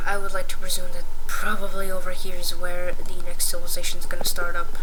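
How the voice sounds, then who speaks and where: A woman talks at a fairly quick pace with an extremely high pitch. There is audible room echo and noticeable background noise. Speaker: map-drawing video creator. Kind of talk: tutorial. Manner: hesitant, many fillers. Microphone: quiet recording, boosted in editing.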